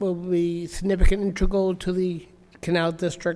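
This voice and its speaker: A man talks in a high, monotone voice with flat intonation. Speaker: public commenter. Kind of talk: public testimony at planning board meeting. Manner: halting, with frequent fillers.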